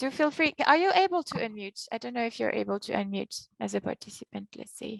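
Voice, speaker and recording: A woman with a French accent talks at a fairly quick pace, with big swings in loudness. The sound is dry and close, with no echo. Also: hardly any pauses. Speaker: session moderator. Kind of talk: online panel moderation.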